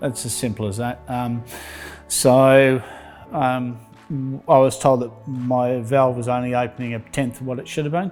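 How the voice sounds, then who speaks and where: With an Australian accent, a man talks at a medium pitch over music in the background. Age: 60s. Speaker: patient. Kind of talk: testimony.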